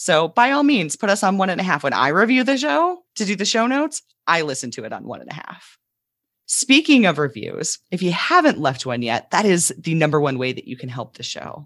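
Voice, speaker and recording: A woman's voice with very wide pitch swings and big swings in loudness, on a very clean recording with a silent background. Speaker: podcast host and ADHD coach. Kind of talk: podcast discussion. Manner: slow, deliberate podcast delivery.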